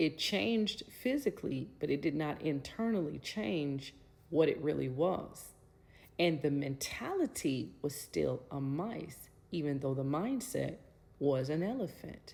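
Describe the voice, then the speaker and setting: A woman's very deep, low voice with vocal fry and an animated tone, at a fairly slow pace. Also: lively intonation. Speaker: motivational speaker. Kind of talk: motivational talk.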